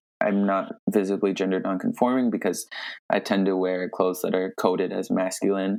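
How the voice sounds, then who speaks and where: At a fairly quick pace, a man speaks with a fairly low pitch. His intonation stays monotone and flat. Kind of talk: casual chat. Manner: hesitant, repeats words.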